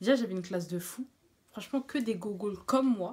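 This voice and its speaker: Somewhat breathy, a woman talks at a moderate pace with a fairly high pitch and ordinary pitch variation. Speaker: beauty vlogger. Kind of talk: storytime vlog. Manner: speaking quietly; casual, hesitant with fillers.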